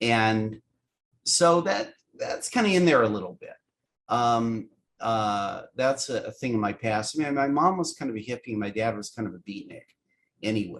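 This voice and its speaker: A man speaks in an unremarkable speaking voice at medium pitch. His pace is moderate and his intonation lively. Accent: General American. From US West Coast, San Francisco. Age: 60s. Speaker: animation writer and producer. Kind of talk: casual interview chat.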